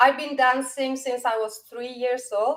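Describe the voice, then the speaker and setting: In a Norwegian accent, a woman speaks at a high pitch. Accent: Norwegian, non-native English. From Norway. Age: 50s. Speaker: dance teacher. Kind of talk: casual chat.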